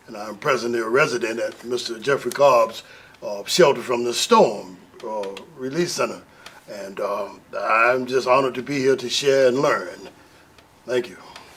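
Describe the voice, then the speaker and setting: At a moderate pace and medium pitch, a man talks with ordinary pitch variation and big swings in loudness. Background noise is noticeable. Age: 60s. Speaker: formerly incarcerated panelist. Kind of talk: panel discussion.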